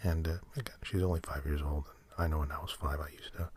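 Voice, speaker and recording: Someone mumbles on a very clean recording with a silent background. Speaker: ASMR podcast host. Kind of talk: mumbled ASMR ramble. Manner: mumbling; halting, filler-heavy.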